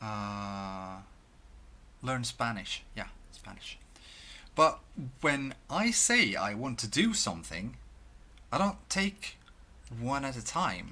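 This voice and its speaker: A man speaks with a Swedish accent at a very slow pace. Long, frequent pauses break up his speech. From Sweden. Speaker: video blogger. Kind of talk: casual monologue. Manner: halting.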